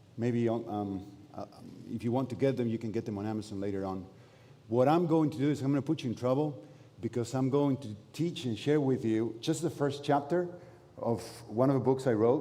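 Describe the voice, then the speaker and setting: Dark and mellow in tone, a man speaks at a fairly quick pace at medium pitch with ordinary pitch variation. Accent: Spanish. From Argentina. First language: Spanish. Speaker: pastor. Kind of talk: sermon. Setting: church. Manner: halting.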